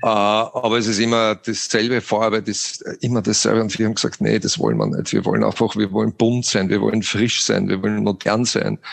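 A man with an Austrian accent talks at a fairly quick pace with hardly any pauses and very even loudness. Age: 50s. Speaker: franchise company CEO. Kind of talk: interview.

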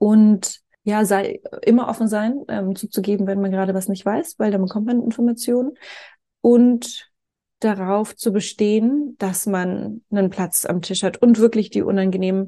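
Against a quiet background, a woman talks at a moderate pace in a dark, mellow tone. Her pitch is fairly high and her intonation fairly even. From Franconia, Germany (small village). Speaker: co-founder of a foreign policy organisation, scholarship alumna. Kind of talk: interview. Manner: many filler sounds (ähm).

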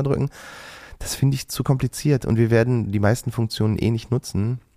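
Very fast and dry, with a close sound and no echo, a man talks at a medium pitch in a dark, mellow tone with ordinary pitch variation. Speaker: podcast co-host. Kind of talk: casual chat.

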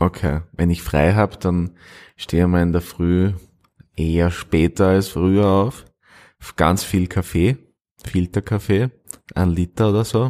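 The dark, mellow voice keeps a fairly even intonation broken by long, frequent pauses, in a dry, close sound with no echo on a very clean recording with a silent background. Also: man, very deep, low pitch for a man, fairly slow pace. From Austria, Styria (near Carinthian border). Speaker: actor. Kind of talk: interview. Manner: halting.

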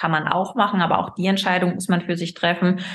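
A woman's somewhat breathy voice at a medium pitch. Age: 30s. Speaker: gynecologist, fertility doctor. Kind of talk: casual interview.

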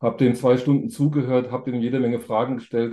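A man talks at a fairly quick pace in a medium pitch. His tone is dark and mellow, with monotone, flat intonation. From Thuringia, eastern Germany. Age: 50s. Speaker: business angel investor. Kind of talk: podcast interview.

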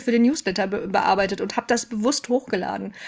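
A woman at a fairly quick pace with ordinary pitch variation, amid noticeable background noise. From Ruhr area, Germany. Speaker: mental load expert and trainer. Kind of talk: casual interview chat.

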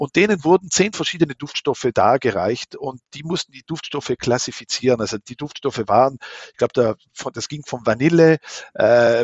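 This man's voice sits at medium pitch. His pitch varies in an ordinary way. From South Tyrol, Italy (Meran). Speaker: smell researcher and professor. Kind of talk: interview. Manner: hesitant, many filler sounds.

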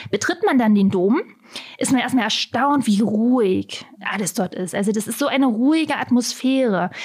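Noticeable background noise under a moderate pace and lively intonation. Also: woman, fairly high pitch for a woman. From Saxony-Anhalt, Germany (Halberstadt). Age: 30s. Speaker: tourism advisor. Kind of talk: interview. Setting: studio.

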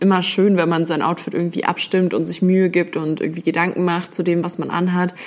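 Speaking at a fairly quick pace with hardly any pauses, a woman uses fairly even intonation at a fairly low pitch. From Berlin, Germany. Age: 20s. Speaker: student and sneaker YouTuber. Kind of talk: casual chat. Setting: in person at her place in Essen.

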